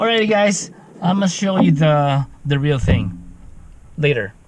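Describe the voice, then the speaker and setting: Speaking at a fairly slow pace, a man with a Filipino accent has a fairly high pitch. His pitch swings very widely. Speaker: FPV drone hobbyist YouTuber. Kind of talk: tutorial.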